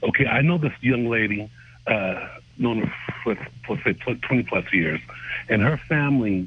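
This man's voice sits fairly low in pitch, moving at a moderate pace with ordinary pitch variation. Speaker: caller. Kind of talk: casual chat. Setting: phone call. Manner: animated.

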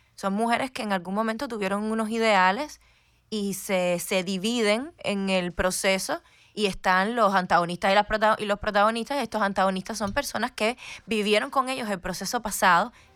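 A woman with a plain, everyday voice speaks at a fairly quick pace and medium pitch with ordinary pitch variation, recorded very cleanly against a silent background. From Havana, Cuba. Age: young. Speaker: actress. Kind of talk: radio interview. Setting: radio studio.

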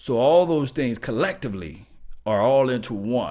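With a Mississippi accent, a man speaks in an animated tone. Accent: US Southern (Mississippi). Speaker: sports fan channel host. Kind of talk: motivational monologue to viewers.

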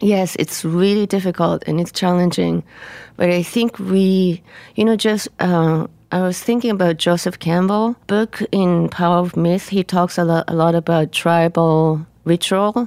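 A woman's fairly low voice in a Japanese accent, fairly slow with fairly even intonation and very even loudness, in a dry, close sound with no echo. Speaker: musician. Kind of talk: casual interview conversation. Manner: careful, deliberate wording.

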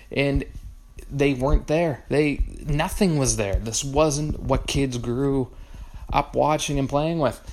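Noticeable background noise sits under a man who talks at a very slow pace in a fairly high pitch. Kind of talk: review rant.

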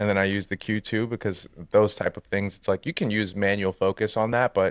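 A man's fairly low voice in a New York accent, very fast and fairly even in intonation, with a dry, close sound, no echo and a quiet background. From New York City (Harlem, Brooklyn, Bronx). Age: 30s. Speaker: street and portrait photographer. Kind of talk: casual interview chat.

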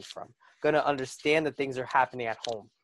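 A man's plain, everyday voice with an American accent, ordinary pitch variation, and a fairly quick pace. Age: 20s. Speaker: college student and former volunteer EMT. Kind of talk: casual chat.

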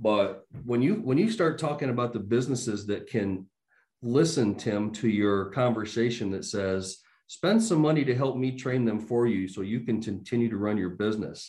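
An unremarkable speaking voice from a man, medium in pitch, moderate in pace, with ordinary pitch variation. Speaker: trade school founder and CEO. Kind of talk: panel discussion.

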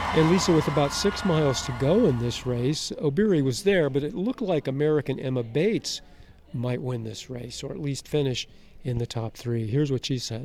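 A man with an unremarkable speaking voice, at a fairly quick pace. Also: fairly high pitch for a man. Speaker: sports reporter. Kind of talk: news report. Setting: outdoors.

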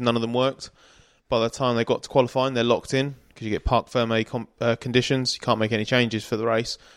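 A man talks at a very fast pace in a medium pitch. His intonation is monotone and flat, and the recording is very clean with a silent background. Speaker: motorsport journalist. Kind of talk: casual chat. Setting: Airbnb room late at night.

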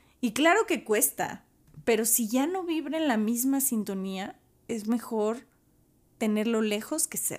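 Lively in intonation but fairly slow in pace, this is a plain, everyday voice. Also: woman, fairly high pitch for a woman. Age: 30s. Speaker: podcast host. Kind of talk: solo podcast monologue.

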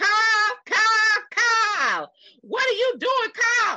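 A put-on character voice in a Texan accent speaks at a very slow pace. Its intonation stays fairly even. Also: woman, extremely high pitch for a woman. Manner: exasperated, scolding.

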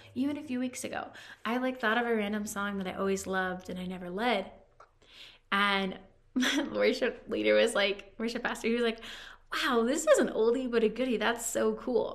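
A woman speaks at a moderate pace with a fairly high pitch. Her pitch varies in an ordinary way, and the room echo is audible. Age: 30s. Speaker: domestic abuse survivor. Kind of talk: personal testimony in interview.

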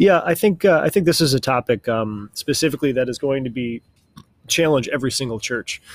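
In a dry, close sound with no echo, a man has a normal speaking voice at medium pitch. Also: ordinary pitch variation, fairly quick pace. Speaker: guest, church member. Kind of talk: prayer and religious discussion.

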